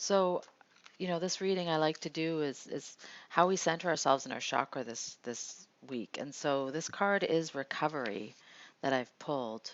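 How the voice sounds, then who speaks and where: This soft-spoken woman has a very deep, low pitch and lively intonation. She speaks at a moderate pace. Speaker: meditation host and card reader. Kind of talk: guided meditation with card reading. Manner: halting.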